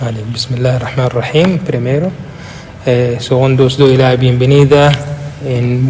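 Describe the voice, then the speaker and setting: Amid noticeable background noise and audible room echo, a man with a non-native accent speaks fairly slowly at a medium pitch with fairly even intonation. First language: Arabic (speaking Spanish). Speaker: imam and religious teacher. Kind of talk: interview. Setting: mosque. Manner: halting.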